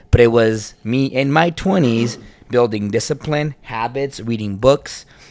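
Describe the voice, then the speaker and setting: With an ordinary speaking voice, a man talks at medium pitch and a fairly slow pace, with ordinary pitch variation. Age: 30s. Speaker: podcast co-host. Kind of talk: casual chat.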